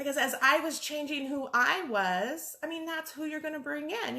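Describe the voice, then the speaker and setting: A woman speaks in a raised, projected voice, high-pitched with a bright, sharp tone, at a moderate pace. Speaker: life coach. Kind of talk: facebook live monologue. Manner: loud; halting.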